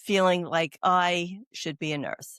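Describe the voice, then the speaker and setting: In a very clean recording with a silent background, a woman speaks at a fairly low pitch with a Brooklyn accent. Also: dry, close sound with no echo. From New York. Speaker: oncology doula, nurse. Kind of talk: interview conversation. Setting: podcast.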